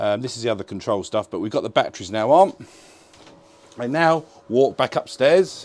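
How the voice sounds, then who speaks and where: Speaking at a moderate pace, the man has an English accent. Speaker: boat dealer presenter. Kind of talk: tour walkthrough. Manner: casual, energetic.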